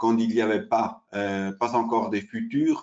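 Against a quiet background, a man with an Italian accent talks at a very slow pace with fairly even intonation. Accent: Italian-accented French, non-native. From Switzerland, Italian family. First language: Italian (speaking French). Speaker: derivatives exchange sales specialist; presenter. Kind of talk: webinar presentation. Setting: online webinar. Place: home room. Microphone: webcam.

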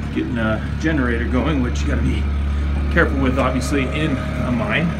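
Music plays in the background. A man is speaking. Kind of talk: casual vlog chat. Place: tunnel cave. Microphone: phone near.

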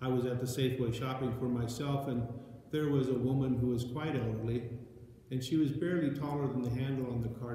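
Strong room echo surrounds a man speaking at a fairly quick pace. His medium-pitched voice has a dark, mellow tone and ordinary pitch variation.

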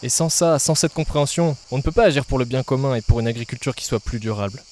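A man's dark, mellow voice shows ordinary pitch variation in a dry sound with no echo. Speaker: agronomy student, channel creator; channel creator. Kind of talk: scripted channel presentation. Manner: casual, direct address to viewer. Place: garden. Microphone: handheld.

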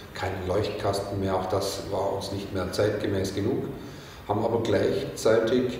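A man with a fairly low pitch and monotone, flat intonation, in strong room echo with light background noise. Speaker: sales manager of a bed company. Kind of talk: interview answer.

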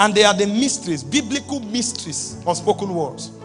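A man speaks with lively intonation. Faint music plays in the background. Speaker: preacher, apostle. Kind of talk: sermon, preaching to a congregation. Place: church. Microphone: handheld.

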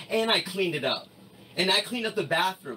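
A man's high, raised and projected voice at a fairly quick pace, with light background noise. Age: 30s. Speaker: livestreamer. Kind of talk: heated argument. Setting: live stream from home late at night. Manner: animated. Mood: defensive, agitated. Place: home room.

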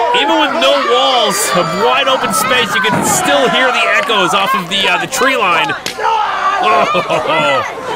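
Crowd noise fills the background as a man talks at a very slow pace. His tone is upbeat and playful, his loudness very even. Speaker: wrestling commentator. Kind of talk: live wrestling commentary. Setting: outdoors at live event. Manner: upbeat, playful and jokey.

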